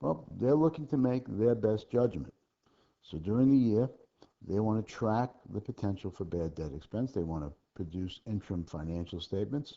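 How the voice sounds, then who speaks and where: A soft-spoken man with a fairly low voice, lively intonation, a moderate pace and big swings in loudness. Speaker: accounting instructor. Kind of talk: homework tutorial lecture. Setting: low recording level.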